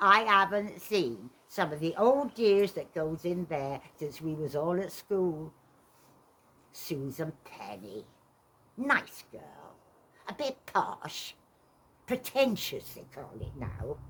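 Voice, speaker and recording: Using a put-on character voice, a woman speaks at a very slow pace with long, frequent pauses, very wide pitch swings, and big swings in loudness. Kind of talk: stage monologue. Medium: stage play. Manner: wry, dry, conversational.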